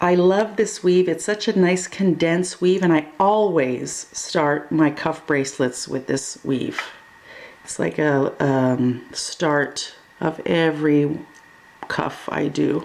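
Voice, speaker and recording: A woman's very deep, low voice at a very slow pace, with ordinary pitch variation over noticeable background noise. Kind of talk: tutorial. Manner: casual.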